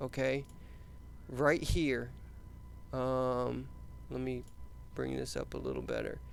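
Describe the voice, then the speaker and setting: The room gives off audible echo. A man talks rather slowly within it. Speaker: HVAC instructor. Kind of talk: lecture.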